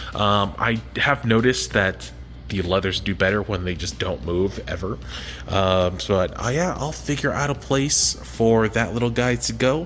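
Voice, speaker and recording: Music plays in the background as a man speaks at a fairly low pitch with very wide pitch swings. He keeps a fairly slow pace. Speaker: reef aquarium hobbyist YouTuber. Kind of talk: casual video vlog. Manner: casual with many filler words; whispering.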